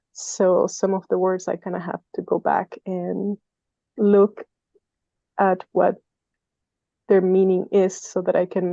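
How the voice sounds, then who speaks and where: With a non-native accent, a woman speaks at a very slow pace in a dry, close sound with no echo. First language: not English. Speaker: meditation group participant. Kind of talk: group discussion. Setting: online video call.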